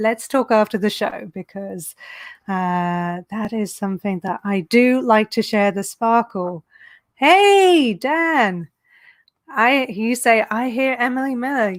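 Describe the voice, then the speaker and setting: A woman talks at a very slow pace with lively intonation and a fairly high pitch. The sound is dry and close, with no echo. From England. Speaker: online business coach, show host. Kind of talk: live-streamed interview show, personal story. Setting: live video stream.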